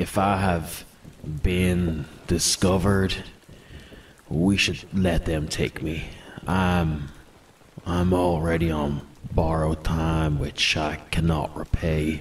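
Putting on a character voice, a man speaks very slowly in a gravelly, very deep tone with flat, monotone intonation. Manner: mysterious, weary.

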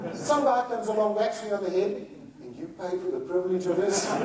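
A high-pitched man at a moderate pace with ordinary pitch variation, amid audible room echo and noticeable background noise. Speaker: conference speaker. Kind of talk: humorous keynote storytelling. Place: hall.

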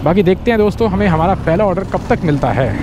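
The sound is dry with no echo, and noticeable background noise runs underneath. Delivery moves at a fairly quick pace. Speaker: food delivery rider vlogger. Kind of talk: casual vlog chat. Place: motorbike. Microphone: helmet.

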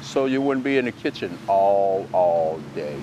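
Fairly slow speech from a man, dry with no echo, over light background noise. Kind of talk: tutorial. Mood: relaxed, friendly. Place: garden. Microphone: lapel.

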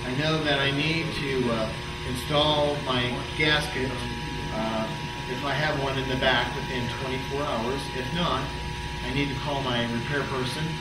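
A man talks at a fairly slow pace with long, frequent pauses while music plays in the background. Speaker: trainer demonstrating leak check. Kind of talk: tutorial. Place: factory.

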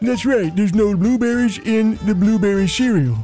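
A man's high-pitched, put-on character voice over clear music in the background. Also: moderate pace, ordinary pitch variation. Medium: audio drama.

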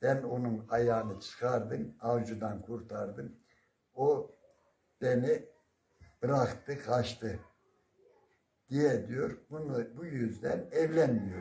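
Somewhat breathy and dark, mellow in tone, the voice moves at a very slow pace with long, frequent pauses and ordinary pitch variation, with audible room echo. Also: man. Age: 70s. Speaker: retired primary school teacher. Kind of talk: folk storytelling. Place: home room. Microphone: phone near.

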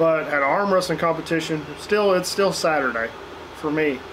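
This man talks at a fairly quick pace while noticeable background noise carries on around him. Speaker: beer review vlogger. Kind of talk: casual vlog chat. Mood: relaxed, chatty. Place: garden.

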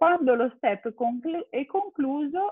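Against a quiet background and a dry sound with no echo, a woman speaks at a fairly slow pace. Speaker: school principal; webinar presenter. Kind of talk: webinar presentation with slides. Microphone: video call.

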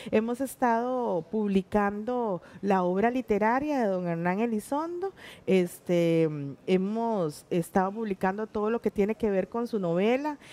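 A woman's dark, mellow voice at a fairly slow pace. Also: ordinary pitch variation. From Costa Rica, Puntarenas; Costa Rica. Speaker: teacher and stage actress; teacher, stage actress. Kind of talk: interview. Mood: warm, animated storytelling. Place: studio. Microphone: headset.

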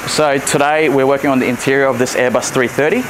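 A man speaks at a fairly quick pace with fairly even intonation. Noticeable background noise runs underneath. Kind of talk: interview answer. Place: factory.

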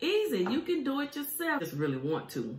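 There's audible room echo as a woman talks at a fairly quick pace. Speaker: food vlogger. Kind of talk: casual vlog chat. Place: home room. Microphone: phone near.

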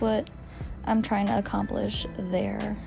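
The woman talks at a fairly slow pace. Behind her, clear music plays in the background. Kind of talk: tutorial. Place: shop. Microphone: phone near.

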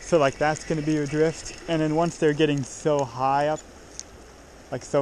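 A man talks at a fairly quick pace, the sound dry with no echo and light background noise behind him. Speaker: fishing guide for his friend. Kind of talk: casual instructive vlog chat. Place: waterside. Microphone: phone near.

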